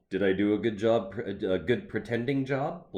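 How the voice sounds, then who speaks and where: A man puts on a character voice at a medium pitch, speaking at a moderate pace. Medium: read story. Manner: goofy and simple.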